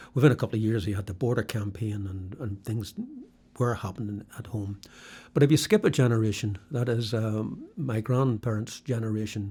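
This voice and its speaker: On a very clean recording with a silent background, a man with a Northern Irish accent talks at a fairly quick pace, his fairly low voice somewhat breathy with a dark, mellow tone. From Belfast, Northern Ireland, then Norwich, England. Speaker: former prisoner and author. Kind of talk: interview. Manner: halting.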